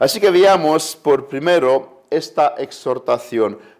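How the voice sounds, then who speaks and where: A man with a Romanian accent, speaking at a very slow pace. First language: Romanian (speaking Spanish). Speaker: preacher. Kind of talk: sermon.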